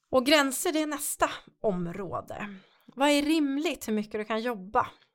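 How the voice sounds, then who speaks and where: Over a silent background in a very clean recording, a woman speaks in a plain, everyday voice with lively intonation. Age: 50s. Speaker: podcast host and coach. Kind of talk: workshop-style podcast talk.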